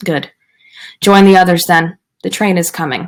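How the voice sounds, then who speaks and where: A woman puts on a raspy character voice, medium in pitch. She talks at a moderate pace with fairly even intonation. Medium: read story. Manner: hard, curt.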